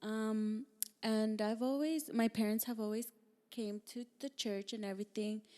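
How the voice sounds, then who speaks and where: A woman's fairly high voice, dark and mellow in tone, at a fairly slow pace. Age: 20s. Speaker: podcast co-host. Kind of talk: casual chat. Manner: halting.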